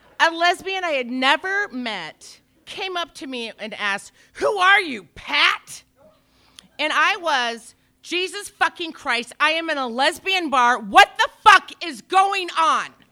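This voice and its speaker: Raised and projected, a woman's bright, sharp voice sits at an extremely high pitch, with very wide pitch swings, big swings in loudness and a very slow pace. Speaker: storyteller, actor and improviser. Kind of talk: live storytelling.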